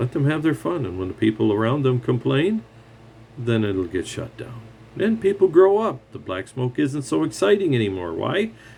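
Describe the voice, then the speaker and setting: A man with a dark, mellow tone and a medium pitch talks at a moderate pace, somewhat breathy, with very wide pitch swings. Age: 60s. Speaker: retired mechanic. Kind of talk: rant monologue. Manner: animated.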